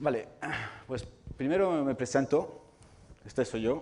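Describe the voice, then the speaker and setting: A man with a non-native accent at a moderate pace, with ordinary pitch variation. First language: not Spanish (speaking Spanish). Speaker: video game developer and lecturer. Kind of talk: public talk. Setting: hall with live audience. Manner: hesitant, with fillers.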